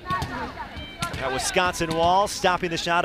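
Speaking over noticeable background noise, a man uses a high pitch with ordinary pitch variation. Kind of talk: live commentary.

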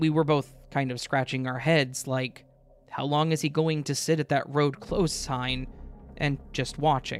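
Speech unfolds fairly slowly. Background music accompanies it. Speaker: guest story reader. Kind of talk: reading aloud a story.

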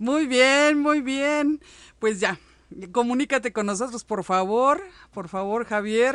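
The intonation is lively. The background is quiet. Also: woman. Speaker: radio host. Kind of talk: live radio show hosting. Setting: live internet radio studio. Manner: halting, many fillers.

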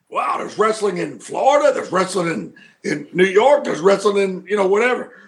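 A man's high-pitched voice in a Southern US accent, bright and sharp in tone, with ordinary pitch variation. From US South, Mid-South near Memphis. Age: 50s. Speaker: pro wrestling manager. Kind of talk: casual interview chat. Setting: studio.

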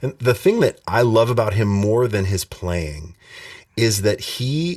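A man with an American accent has a plain, everyday voice at a fairly low pitch. He speaks at a fairly slow pace on a very clean recording with a silent background. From Montana. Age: 40s. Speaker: bass player and music instructor. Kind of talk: casual interview.

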